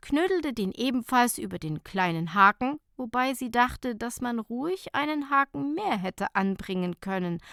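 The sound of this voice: A woman speaks at a moderate pace with few pauses, her fairly high voice showing lively intonation and vocal fry. The sound is dry and close with no echo, on a very clean recording with a silent background. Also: fairly bright tone.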